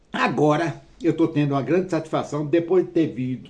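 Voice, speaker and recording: A man's fairly high-pitched voice with a dark, mellow tone, at a fairly slow pace. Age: 70s. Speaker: retired man telling his life story. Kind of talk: personal monologue. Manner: halting.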